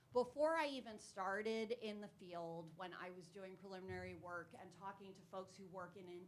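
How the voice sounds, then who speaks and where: Her pitch sits in the medium range. Noticeable background noise accompanies this woman. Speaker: audience member, professor. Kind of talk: audience question. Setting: hybrid public event with audience.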